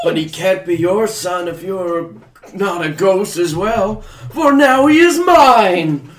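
A man does a put-on character voice, high-pitched and at a fairly slow pace. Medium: comedy sketch. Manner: offhand, deadpan.

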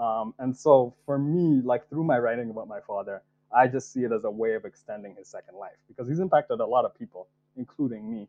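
In an unremarkable speaking voice, the talk moves at a fairly quick pace with ordinary pitch variation and big swings in loudness. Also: man, medium pitch for a man. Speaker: writer and poet. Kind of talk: casual interview chat.

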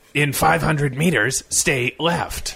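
A man puts on a raspy character voice at a fairly high pitch. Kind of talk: flat, robotic, measured.

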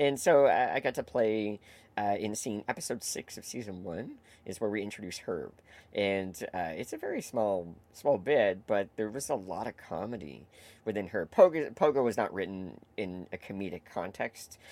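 A man's ordinary speaking voice, fairly low in pitch, with a Canadian accent, moderate pace, lively intonation and big swings in loudness. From Canada, Toronto area (Etobicoke). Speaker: comedian and improv performer. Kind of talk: casual interview chat. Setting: video call.

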